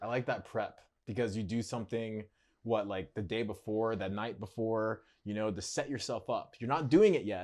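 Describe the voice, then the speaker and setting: Using a plain, everyday voice, a man talks at a moderate pace and medium pitch with fairly even intonation. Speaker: social media content creator. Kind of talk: casual interview chat. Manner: conversational, filler-heavy.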